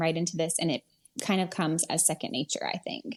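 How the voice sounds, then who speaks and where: Very fast speech with an American accent. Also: woman. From West Virginia. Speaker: wedding photographer. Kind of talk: podcast interview.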